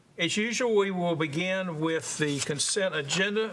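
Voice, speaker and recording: Speaking with a Southern US accent, the man shows ordinary pitch variation. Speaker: committee chair. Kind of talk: chairing a meeting. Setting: council committee meeting.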